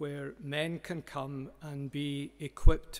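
A man speaks at a very slow pace. His intonation stays fairly even. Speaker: conference speaker. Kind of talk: welcome address before a sermon. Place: hall. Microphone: podium.

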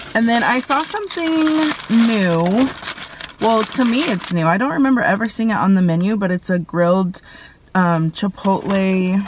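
The sound is dry with no echo, and light background noise is present. The pace is moderate. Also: woman. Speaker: food vlogger. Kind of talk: casual vlog chat. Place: car. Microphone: phone near.

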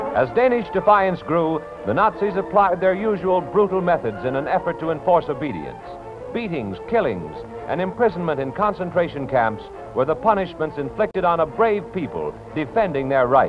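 Someone speaks at a moderate pace over clear music in the background. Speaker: newsreel narrator. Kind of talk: newsreel narration. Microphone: old recording.

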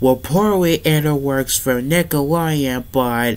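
A man talks at a very slow pace. His pitch varies in an ordinary way. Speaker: vlogger. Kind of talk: casual vlog chat. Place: home room.

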